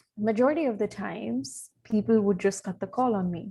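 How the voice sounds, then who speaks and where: A somewhat breathy woman's voice at medium pitch, with lively intonation and a moderate pace. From India, Odisha. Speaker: communications specialist and journalist. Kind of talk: podcast interview. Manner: hesitant, many fillers.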